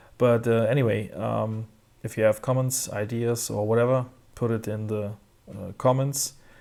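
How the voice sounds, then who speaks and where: On a very clean recording with a silent background, a man speaks at a moderate pace in a medium pitch. His tone is dark and mellow, and his intonation stays monotone and flat. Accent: German. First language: German. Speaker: tech reviewer. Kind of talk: product review. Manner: halting, many fillers.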